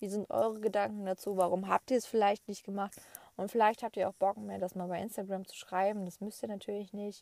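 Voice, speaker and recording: At a fairly quick pace, a woman speaks at medium pitch in a monotone, flat way, her dark, mellow tone showing big swings in loudness in a dry, close sound with no echo. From Lower Saxony, Germany. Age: 20s. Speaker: podcast host and horse owner. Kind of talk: casual solo podcast monologue. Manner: hesitant, many filler sounds.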